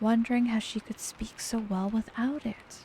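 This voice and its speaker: A woman's fairly high, soothing voice, fairly slow and monotone with flat intonation, over noticeable background noise. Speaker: VTuber. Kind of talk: bedtime story reading. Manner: slow, soothing.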